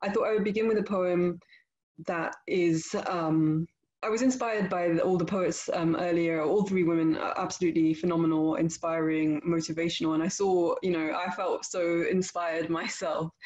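Over a quiet background, a woman talks at a fairly low pitch and moderate pace, with very even loudness and fairly even intonation. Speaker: guest. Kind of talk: casual address to an online audience. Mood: warm, grateful. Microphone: webcam.

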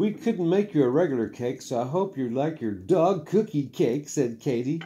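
With vocal fry and a dark, mellow tone, the voice moves at a fairly slow pace through very wide pitch swings, over light background noise. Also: man. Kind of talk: storybook read-aloud. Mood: warm, affectionate. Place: home room. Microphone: phone near.

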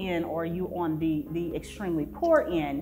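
A woman speaking, with faint music in the background. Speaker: panelist. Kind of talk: panel discussion answer. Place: hall.

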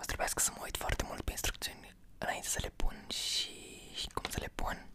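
A man is whispering in a relaxed tone. His pace is moderate. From Romania. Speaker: ASMR content creator. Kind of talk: casual talk to camera, unboxing. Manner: soft-spoken, relaxed. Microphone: studio mic.

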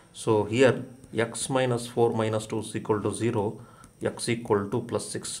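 A man with a medium-pitched voice talks in a room with audible echo. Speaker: chemistry teacher. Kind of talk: lecture. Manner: hesitant, frequent fillers.

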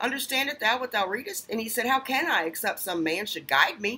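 A raised, projected voice moves at a fairly quick pace with very wide pitch swings. The tone is bright and sharp. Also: woman. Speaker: online preacher. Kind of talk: sermon. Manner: earnest, emphatic, preaching; defiant, challenging. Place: home room. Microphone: webcam.

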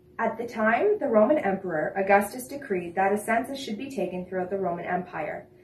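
A man talks at a fairly quick pace in a high pitch, with ordinary pitch variation. Room echo is audible. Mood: calm, reverent. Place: home room. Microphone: camera far.

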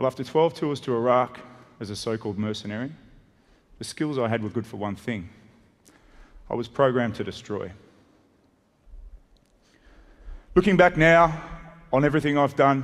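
Against a quiet background, a man speaks at a moderate pace with ordinary pitch variation and long, frequent pauses. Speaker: conference speaker. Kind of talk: public talk. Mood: serious, reflective storytelling. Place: stage. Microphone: headset.

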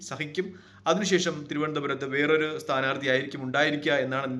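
A man's fairly high, fairly even voice amid audible room echo and noticeable background noise. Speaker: political commentator. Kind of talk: political commentary monologue.

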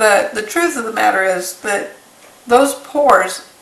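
A woman speaks, and audible room echo surrounds her words. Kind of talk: tutorial. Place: kitchen. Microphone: camera far.

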